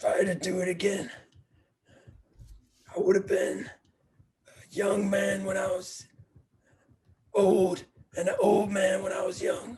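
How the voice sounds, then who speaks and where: Putting on a character voice, a man speaks with high pitch and a raspy sound at a moderate pace, with long, frequent pauses and big swings in loudness. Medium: stage play. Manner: gruff, dismissive.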